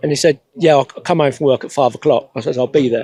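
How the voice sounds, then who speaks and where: A man with an English Midlands accent has a dark, mellow tone and a fairly high pitch. His pitch variation is ordinary, and the sound is dry and close with no echo. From England, Northampton. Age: 60s. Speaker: classic car owner. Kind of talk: casual interview.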